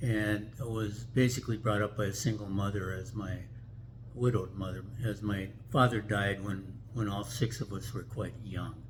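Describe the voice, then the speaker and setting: A man's fairly low, somewhat breathy voice with an Upper Midwest accent, a moderate pace and fairly even intonation. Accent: Upper Midwest American. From US Midwest, Minneapolis. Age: 80s+. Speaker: vlogger. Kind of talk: casual chat. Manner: halting.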